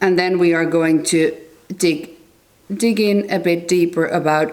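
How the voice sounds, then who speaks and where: Fairly slow, monotone, flat speech in a Finnish accent, with audible room echo. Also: woman. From Finland. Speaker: tarot and astrology youtuber. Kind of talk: book review monologue. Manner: halting.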